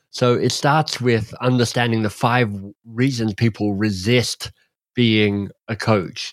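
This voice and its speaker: An unremarkable speaking voice with fairly even intonation, a dry, close sound with no echo and a very clean recording with a silent background. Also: man. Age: 50s. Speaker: leadership and coaching author. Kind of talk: interview.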